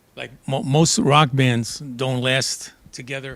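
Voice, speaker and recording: A man speaks with a New York accent in a medium pitch. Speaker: drummer and actor. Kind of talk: interview. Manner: halting.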